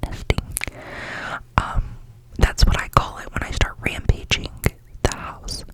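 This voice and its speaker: Whispering at a fairly slow pace with long, frequent pauses, a woman is heard against noticeable background noise. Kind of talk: ASMR whisper ramble; casual talk to camera. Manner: whispered.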